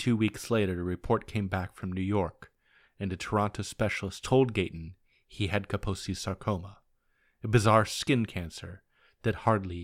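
An unremarkable speaking voice from a man, fairly low in pitch with fairly even intonation and a moderate pace, on a very clean recording with a silent background. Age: 40s. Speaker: history podcast host. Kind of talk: scripted narration.

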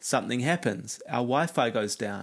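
At a moderate pace, a man with a medium pitch talks with lively intonation, vocal fry and a slightly husky edge.

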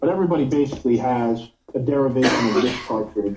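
A man with an American accent talks at a fairly quick pace in a dark, mellow tone. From New York. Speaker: cannabis vaporizer company executive. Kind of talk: interview.

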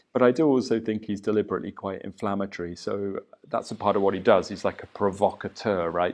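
Delivered at a very fast pace, this voice keeps a fairly even intonation. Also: man, fairly low pitch for a man. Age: 40s. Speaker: martial arts and qigong teacher. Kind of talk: solo podcast monologue. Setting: home studio.

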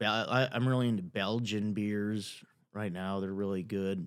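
In a normal speaking voice, a man talks fairly slowly with an American accent. His fairly low pitch has fairly even intonation on a very clean recording with a silent background. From Chicago, US Midwest. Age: 30s. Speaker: comedian. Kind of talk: casual chat.

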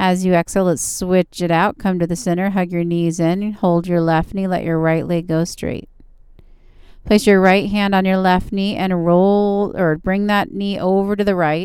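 In a very clean recording with a silent background, a woman speaks at medium pitch in a relaxed, calm tone with monotone, flat intonation. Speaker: yoga instructor. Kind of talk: guided yoga class with step-by-step pose cues and breath prompts. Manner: calm, slow, soothing coaching with repeated gentle encouragements like good and breathe; relaxed, informal, slightly halting with fillers and self-corrections.

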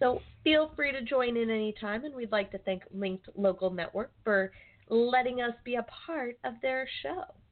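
Speaking in an American accent, a woman uses a high pitch and lively intonation at a moderate pace, with noticeable background noise behind her. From Arizona (Phoenix). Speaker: radio show producer. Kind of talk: casual chat.

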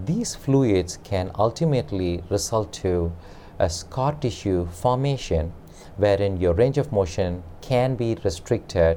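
A man with a dark, mellow tone, fairly low pitch, fairly slow pace and ordinary pitch variation. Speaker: physical therapist. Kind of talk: interview answers. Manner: formal, explanatory.

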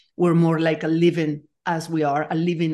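Speaking in a Spanish accent, a woman uses a very deep, low pitch and a dark, mellow tone with monotone, flat intonation. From Nicaragua. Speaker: leadership coach and complexity scientist. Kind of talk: interview.

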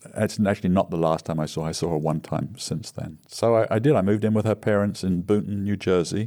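With hardly any pauses, the voice has a dark, mellow tone and ordinary pitch variation. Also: man, fairly low pitch for a man. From England. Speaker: recovering alcoholic sharing story. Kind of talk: casual interview storytelling.

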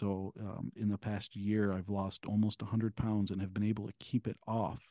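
Spoken with an American accent in a dark, mellow tone. The intonation stays flat and monotone, with a dry, close sound and no echo. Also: man. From Michigan, Ann Arbor area. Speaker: author and abuse survivor advocate. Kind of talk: interview testimony.

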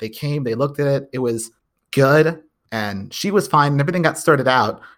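This man has an ordinary speaking voice, fairly high in pitch, with an American accent and ordinary pitch variation. He talks at a fairly quick pace on a very clean recording with a silent background. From Texas. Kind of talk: casual chat.

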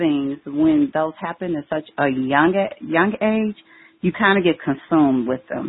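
A woman with an American accent talks at a fairly slow pace, her very deep, low pitch carried by lively intonation. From Chicago, US Midwest. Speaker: educator and empowerment speaker. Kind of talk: podcast interview.

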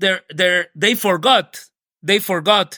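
With a Colombian accent, a man talks at a fairly slow pace in a bright, sharp tone. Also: dry, close sound with no echo. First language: Spanish. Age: 40s. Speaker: activist. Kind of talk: interview. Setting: video call. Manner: halting.

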